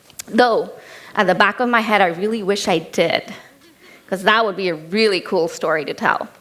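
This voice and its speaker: Noticeable background noise sits behind a woman speaking at a medium pitch. She keeps a moderate pace with ordinary pitch variation. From India and Kenya (third culture kid). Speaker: keynote speaker. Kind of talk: keynote speech. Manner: casual and conversational.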